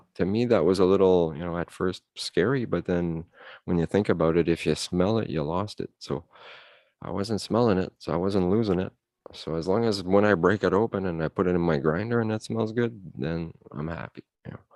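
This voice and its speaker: A man with a slight French Canadian accent speaks at a fairly quick pace with a very deep, low pitch and ordinary pitch variation, in a dry, close sound with no echo and a quiet background. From Ottawa, Canada (French-speaking family). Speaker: cannabis grower, livestream guest. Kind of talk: casual chat.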